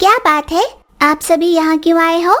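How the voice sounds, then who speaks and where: Someone puts on a squeaky character voice, talking at a fairly quick pace with ordinary pitch variation. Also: woman. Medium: cartoon. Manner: sly, self-serving.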